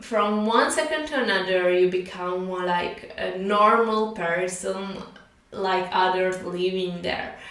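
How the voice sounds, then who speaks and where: Over noticeable background noise, a woman with a non-native accent speaks with fairly even intonation. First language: not English. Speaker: spiritual teacher. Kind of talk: casual talk to camera. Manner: hesitant, with filler sounds.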